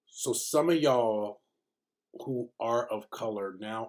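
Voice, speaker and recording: A soft-spoken man talks at a medium pitch. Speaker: video diary vlogger. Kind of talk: casual vlog monologue. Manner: halting, many fillers.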